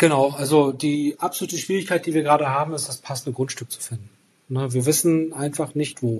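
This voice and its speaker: A man speaks at a fairly high pitch and a fairly quick pace, his voice somewhat breathy. His intonation stays fairly even while his loudness swings widely. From northern Germany, Rostock. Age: 40s. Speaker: engineer, property developer. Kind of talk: interview. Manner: hesitant, many fillers.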